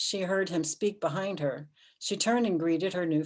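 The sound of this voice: Someone reads aloud. The voice is an unforced reading voice.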